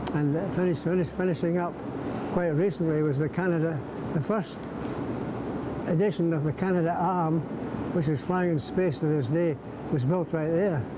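Noticeable background noise sits under a man speaking at a moderate pace with long, frequent pauses. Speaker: WWII veteran, author and museum volunteer. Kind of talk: elder life story, earnest appeal recalling wartime comrades and the museum's plight. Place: hall.

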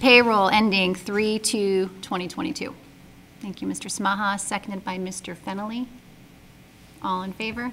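A woman talks at a fairly slow pace with ordinary pitch variation over light background noise. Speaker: school committee chair running the meeting. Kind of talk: formal procedural. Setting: public meeting. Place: meeting room. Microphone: podium.

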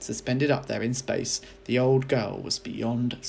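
An unforced reading voice is heard in this clip.

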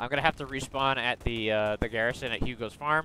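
The bright, sharp voice moves at a fairly quick pace with ordinary pitch variation, a dry sound with no echo, and light background noise. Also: man. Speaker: gamer leading a squad. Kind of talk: casual gaming chat. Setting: online voice chat. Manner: animated. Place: home room.

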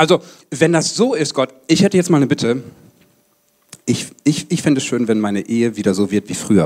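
An animated male voice with very wide pitch swings at a fairly quick pace. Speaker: pastor. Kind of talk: sermon. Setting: church service with congregation. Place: hall. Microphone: handheld.

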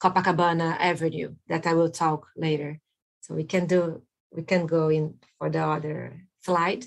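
A woman speaks with a Brazilian Portuguese accent at a fairly low pitch. Her pace is fairly slow, and the background is quiet. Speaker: landscape architect; guest. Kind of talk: presentation. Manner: halting. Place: home room. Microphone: webcam.

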